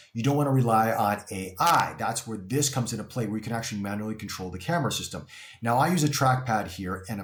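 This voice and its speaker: A man talks at a very fast pace. Noticeable background noise is present. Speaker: tech reviewer. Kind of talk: product review tutorial. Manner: loud. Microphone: room echo, untreated room.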